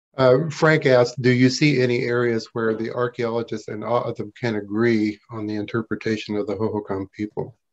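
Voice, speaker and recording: In a normal speaking voice, a man talks at a moderate pace and medium pitch, with fairly even intonation and hardly any pauses. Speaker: archaeologist. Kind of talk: webinar discussion. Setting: video call.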